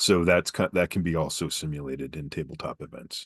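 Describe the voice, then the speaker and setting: Recorded dry and close with no echo against a quiet background, a man with an American accent talks at a moderate pace with fairly even intonation. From New Mexico, US. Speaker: game designer and content creator. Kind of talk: casual interview chat. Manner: halting, many fillers.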